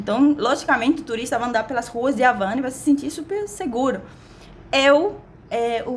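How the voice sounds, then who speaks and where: A woman speaks in an animated tone at a high pitch. Her pitch varies in an ordinary way. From Cuba. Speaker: vlogger. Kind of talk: casual vlog monologue. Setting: recording at a window.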